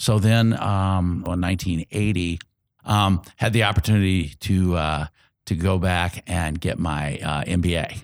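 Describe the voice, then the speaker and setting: With an American accent, this man speaks in a very deep, low pitch and fairly even intonation. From Indianapolis, Indiana, US Midwest. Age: 60s. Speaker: community organizer and retired engineer. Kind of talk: interview. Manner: halting, many fillers.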